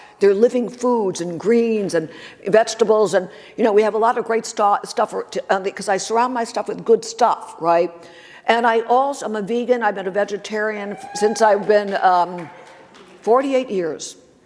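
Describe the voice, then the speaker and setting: A woman with a fairly high pitch and ordinary pitch variation talks at a moderate pace over noticeable background noise. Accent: American. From US Northeast. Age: 70s. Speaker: magazine publisher and motivational speaker. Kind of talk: conference talk. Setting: stage with audience.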